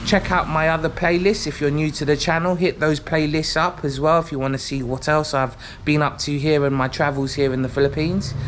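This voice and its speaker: Noticeable background noise sits under a man with a London accent who speaks fairly quickly and with hardly any pauses, his fairly high pitch following a fairly even intonation. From London, England. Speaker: vlogger. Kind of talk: vlog intro to camera. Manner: casual, with frequent fillers.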